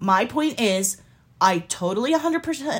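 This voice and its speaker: A woman's fairly high, somewhat breathy voice, animated and passionate in tone, with lively intonation at a fairly slow pace. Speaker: podcast co-host. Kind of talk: casual banter. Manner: animated, passionate.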